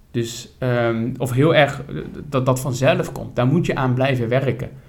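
Audible room echo accompanies speech at a fairly slow pace. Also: man. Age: 30s. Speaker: podcast co-host. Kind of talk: casual chat about politics.

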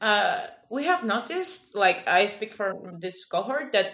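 Against noticeable background noise, a woman with a Spanish accent speaks at a fairly high pitch. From Peru. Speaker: podcast host and master's student. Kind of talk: interview; scripted intro.

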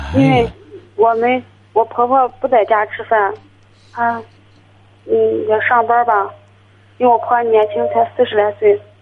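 A woman with a fairly high pitch speaks at a moderate pace, with ordinary pitch variation. She leaves long, frequent pauses. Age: 20s. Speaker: caller. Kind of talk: phone-in advice call. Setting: phone call.

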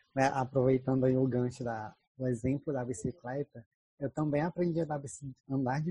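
Recorded with a dry, close sound and no echo, a man of medium pitch speaks at a moderate pace in a dark, mellow, somewhat breathy tone with fairly even intonation. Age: 20s. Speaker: podcast host and Portuguese teacher. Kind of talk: casual chat.

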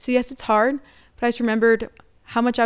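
On a very clean recording with a silent background, a woman with an American accent talks at a very fast pace and a fairly high pitch. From United States. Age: 20s. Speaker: college student and returned missionary. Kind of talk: interview.

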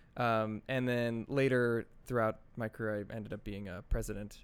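Over a silent background in a very clean recording, a plain, everyday voice speaks with ordinary pitch variation. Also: man. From New Jersey. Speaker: tech startup co-founder. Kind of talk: interview conversation.

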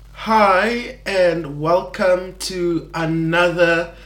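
A man is speaking. Audible room echo can be heard. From South Africa, Eastern Cape. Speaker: podcast host. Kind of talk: faith podcast monologue. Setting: recording alone. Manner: halting, many fillers.

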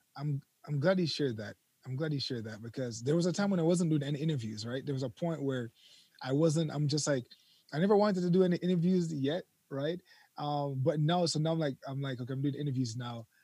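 A man talks at a very fast pace in a fairly high pitch, with ordinary pitch variation and a somewhat breathy, dark, mellow tone. The sound is dry and close, with no echo. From Jamaica. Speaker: YouTube content creator. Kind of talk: casual interview. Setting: remote call from overseas.

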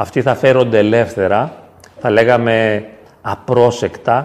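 A man speaks at a medium pitch for a man. His intonation is fairly even and his pace fairly slow. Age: 50s. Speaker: psychologist. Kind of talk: talk and discussion with parish youth. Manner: halting.

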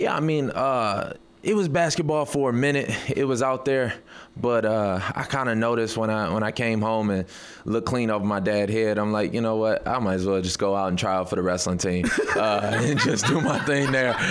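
A man speaks at medium pitch and a moderate pace, with ordinary pitch variation and very even loudness. Audible room echo surrounds his voice. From Detroit, Michigan, US. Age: 20s. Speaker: mixed martial arts fighter. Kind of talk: radio interview.

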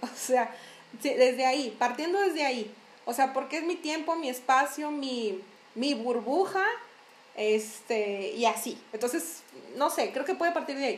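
A woman's high voice with lively intonation at a fairly slow pace, with audible room echo. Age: 30s. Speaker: podcast host. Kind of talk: casual chat.

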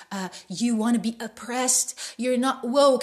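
A somewhat breathy woman's voice. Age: 20s. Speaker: podcast host. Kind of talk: heated opinion rant, solo podcast monologue. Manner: indignant, exasperated tirade with disgusted emphasis; repetitive, stumbling restarts, hammering phrases.

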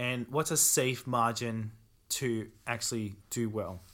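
The recording is very clean, with a silent background. A man speaks at medium pitch in a bright, sharp tone. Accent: Australian. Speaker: e-commerce company founder. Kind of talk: casual interview chat.

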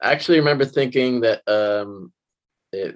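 Over a quiet background, a man speaks at a medium pitch in an unremarkable speaking voice. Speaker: podcast host. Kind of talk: casual chat.

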